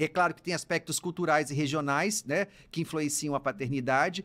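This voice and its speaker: Animated and bright, sharp in tone, a man speaks on a very clean recording with a silent background. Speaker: psychologist and university professor podcast host. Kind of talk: casual advice podcast monologue. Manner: very fast speech; animated, gesturing.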